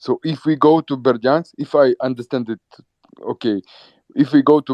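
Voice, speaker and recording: In a dry, close recording with no echo, a man with a Ukrainian accent talks at a fairly slow pace. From Ukraine. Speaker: guest commentator from Ukraine. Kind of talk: casual chat. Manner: halting.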